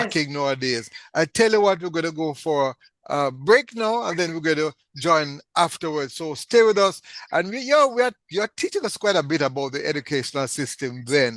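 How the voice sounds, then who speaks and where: With lively intonation and a fairly high pitch, a man speaks at a moderate pace in an ordinary speaking voice. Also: dry, close sound with no echo. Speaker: radio talk show host. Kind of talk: interview host talk.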